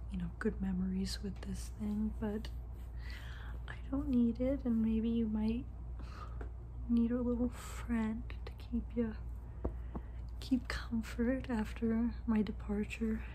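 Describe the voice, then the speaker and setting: A soft-spoken woman's very deep, low voice in a gentle tone, monotone and flat, at a very slow pace with long, frequent pauses, over light background noise. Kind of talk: acted monologue to camera. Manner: soft, gentle ASMR roleplay voice. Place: home room. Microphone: phone near.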